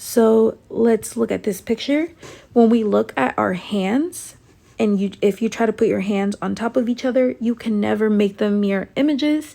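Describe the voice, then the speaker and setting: Moderately paced, a woman speaks in a fairly high pitch with ordinary pitch variation. Her tone is dark and mellow. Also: very clean recording, silent background. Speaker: student tutor. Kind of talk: tutorial.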